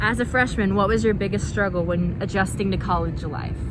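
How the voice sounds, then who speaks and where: Here a woman talks. Her words come with audible room echo and noticeable background noise. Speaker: YouTuber and college student. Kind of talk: casual chat.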